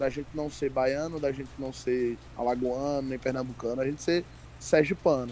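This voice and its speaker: A man speaks at a medium pitch with a Sergipe accent. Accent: Sergipe northeastern Brazilian. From Brazil, Sergipe (Aracaju area). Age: 20s. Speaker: stand-up comedian. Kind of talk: casual chat. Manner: animated.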